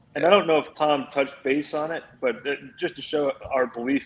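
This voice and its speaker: A man with a Philadelphia accent and ordinary pitch variation. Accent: Philly Northeastern. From Philadelphia, US Northeast. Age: 30s. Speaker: NFT project founder. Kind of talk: casual podcast chat.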